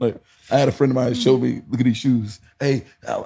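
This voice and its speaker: He is a man with a medium pitch and a dark, mellow tone. Vocal fry runs through his voice. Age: 40s. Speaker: dance teacher. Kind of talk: casual chat. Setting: on location, in person. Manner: fast; animated.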